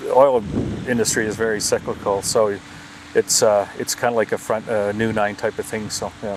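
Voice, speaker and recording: A man with an Albertan accent, monotone and flat, over noticeable background noise. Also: medium pitch for a man, moderate pace. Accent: Canadian (Alberta). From Alberta, Canada. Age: 60s. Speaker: golf club manager, retired oil executive. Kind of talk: casual interview. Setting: outdoors in a backyard.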